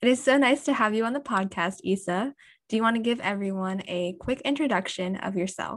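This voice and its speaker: A woman with a fairly high pitch uses a normal speaking voice, her pitch varying in an ordinary way. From USA. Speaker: podcast host. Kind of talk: interview.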